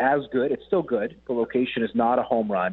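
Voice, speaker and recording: Lively in intonation and fairly quick in pace, a man with an unremarkable speaking voice talks in a medium pitch with a Canadian accent. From Winnipeg, Manitoba, Canada. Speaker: football journalist. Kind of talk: radio sports interview.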